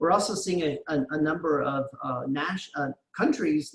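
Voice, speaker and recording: This man's voice comes across as somewhat breathy. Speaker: international education expert. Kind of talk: lecture. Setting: video call. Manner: fast.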